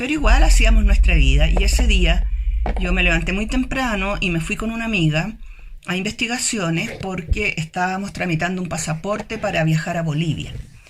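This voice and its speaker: Noticeable background noise runs beneath a woman whose intonation is lively. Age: 70s. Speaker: retired engineer, human rights worker. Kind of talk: testimony.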